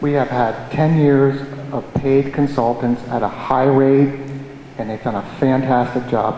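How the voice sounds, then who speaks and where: With an American accent, a man talks in a medium-pitched, monotone, flat voice at a fairly slow pace with long, frequent pauses, over noticeable background noise. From upstate New York (Amenia). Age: 50s. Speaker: local resident, public commenter. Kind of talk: public hearing comment. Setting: town planning board hearing.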